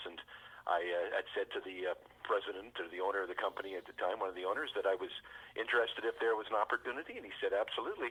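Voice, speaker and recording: Speaking at a very fast pace, a man talks with a Western Canadian accent. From British Columbia, Canada. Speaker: fire chief, former radio broadcaster. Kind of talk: interview answer.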